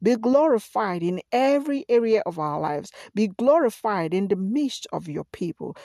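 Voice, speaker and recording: In a dry, close recording with no echo and a quiet background, a woman with a medium-pitched, dark, mellow voice talks at a moderate pace, her pitch swinging very widely. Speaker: pastor. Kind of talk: fervent prayer, repetitive and rhythmic, pleading and declaring. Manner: earnest; emphatic, repeating phrases for emphasis.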